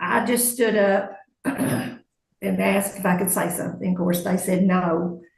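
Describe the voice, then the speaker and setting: Audible room echo surrounds a woman who speaks at very even loudness with ordinary pitch variation. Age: 70s. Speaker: court witness. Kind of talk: courtroom testimony.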